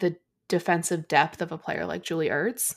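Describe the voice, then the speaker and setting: A woman's fairly low-pitched, plain, everyday voice with an American accent at a moderate pace, on a very clean recording with a silent background. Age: 30s. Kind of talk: casual chat.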